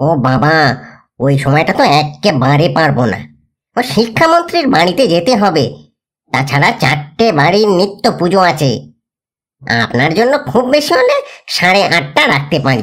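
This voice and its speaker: A man in a put-on character voice with a fairly high pitch, very wide pitch swings, very even loudness, and a moderate pace. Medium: audio drama. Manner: hurried, evasive.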